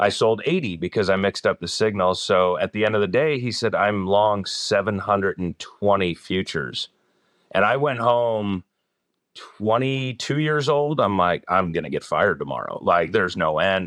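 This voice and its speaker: A man with an American accent, a normal speaking voice and fairly low pitch talks at a moderate pace with lively intonation, the sound dry and close with no echo against a quiet background. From US Northeast, northern New Jersey near Newark. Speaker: company executive. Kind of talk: interview.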